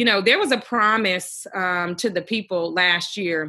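At a moderate pace, a woman with an American accent speaks at medium pitch with fairly even intonation, in an ordinary speaking voice. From US Midwest, Milwaukee. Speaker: civil rights organizer. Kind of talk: podcast interview.

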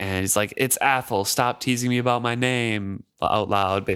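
The recording consists of plain reading aloud.

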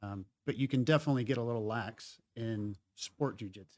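Recorded very cleanly with a silent background, a man of medium pitch speaks in a plain, everyday voice, the sound dry and close with no echo. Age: 40s. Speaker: jiu-jitsu hobbyist and parent. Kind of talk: casual chat. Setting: studio.

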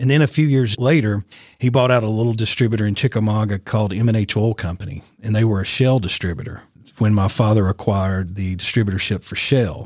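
A man with a Tennessee accent speaks at medium pitch with ordinary pitch variation. The recording is very clean, with a silent background. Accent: Southern US (Tennessee). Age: 50s. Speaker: radio host and media business owner. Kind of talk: casual interview.

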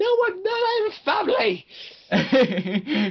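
A put-on character voice, high in pitch, swings very widely in pitch. The pace is very slow.

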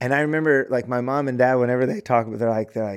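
An unremarkable speaking voice from a man at a medium pitch, with ordinary pitch variation, in a very clean recording with a silent background. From US Midwest, rural central Illinois. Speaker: bereaved parent. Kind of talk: testimony.

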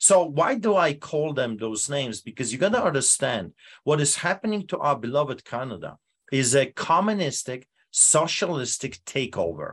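A man with a Polish accent talks at a moderate pace in a fairly high voice, his pitch swinging very widely. The background is quiet. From Poland. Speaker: pastor. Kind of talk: interview. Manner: animated.

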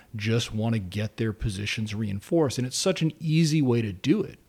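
In an American accent, a man speaks at medium pitch and a moderate pace with lively intonation, in a plain, everyday voice. The recording is very clean, with a silent background. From South Carolina. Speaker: political science professor. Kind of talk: interview.

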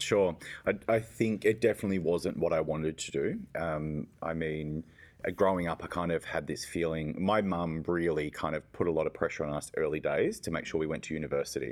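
A man with an Australian accent at a fairly quick pace, on a very clean recording with a silent background. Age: 30s. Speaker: youth services executive. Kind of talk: interview. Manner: fast talker; animated.

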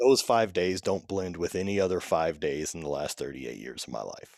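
A man with a very deep, low voice and an American accent, lively intonation and vocal fry, at a moderate pace, on a very clean recording with a silent background. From US South, Louisiana. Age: 30s. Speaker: strength athlete. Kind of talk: casual chat.

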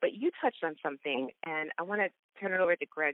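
A woman speaks with a fairly low voice. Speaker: podcast host. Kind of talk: casual interview. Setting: phone call. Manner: animated.

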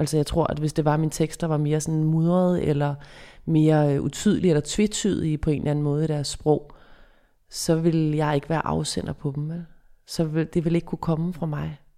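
On a very clean recording with a silent background, a woman with a very deep, low pitch and a dark, mellow tone speaks fairly quickly in a monotone, flat intonation. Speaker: psychologist and author. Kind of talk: interview. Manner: clear, distinct articulation.

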